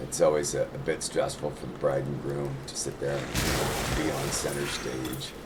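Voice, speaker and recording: Over noticeable background noise and audible room echo, a man with a very deep, low pitch talks at a moderate pace in a monotone, flat intonation. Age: 60s. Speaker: gaming streamer and store owner. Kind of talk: casual chat. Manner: halting.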